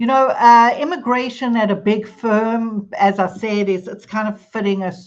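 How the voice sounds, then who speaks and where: A woman with a South African accent speaks at a fairly slow pace in a medium pitch, her intonation fairly even against a quiet background. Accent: South African, noticeable. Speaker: immigration attorney. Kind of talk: podcast interview. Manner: conversational, with fillers.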